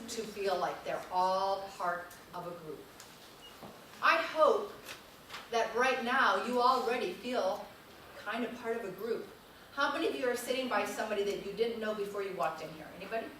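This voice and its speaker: A woman with a northern US accent speaks at a moderate pace and fairly high pitch, with long, frequent pauses and big swings in loudness. Noticeable background noise and audible room echo surround her. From northern United States. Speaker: teacher educator. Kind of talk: lecture. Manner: animated.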